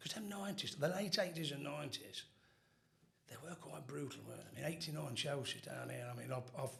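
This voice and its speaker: Talking at a very fast pace, a man is heard with audible room echo around him. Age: 50s. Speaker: former football firm member. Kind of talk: casual chat.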